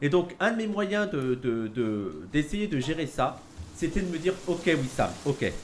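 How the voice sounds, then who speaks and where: At a very slow pace, a man with a fairly high pitch speaks with very wide pitch swings. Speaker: streamer. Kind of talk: casual chat.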